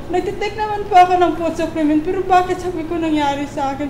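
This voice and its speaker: A woman speaks with ordinary pitch variation amid noticeable background noise. Room echo is audible too. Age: 40s. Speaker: stroke survivor. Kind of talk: testimony. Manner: halting.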